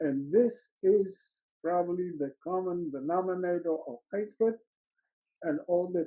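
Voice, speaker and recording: At a fairly slow pace, a man with a Polish accent speaks in a high voice with ordinary pitch variation. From Poland. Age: 90s. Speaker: Holocaust survivor. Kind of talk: testimony.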